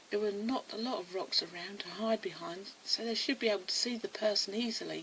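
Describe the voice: This is plain reading aloud.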